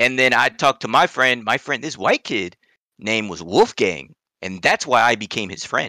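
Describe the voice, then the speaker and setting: Recorded dry and close with no echo, a man at medium pitch speaks at a moderate pace with lively intonation, big swings in loudness and a bright, sharp tone. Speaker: podcast co-host. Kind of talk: casual chat. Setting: video call. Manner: animated.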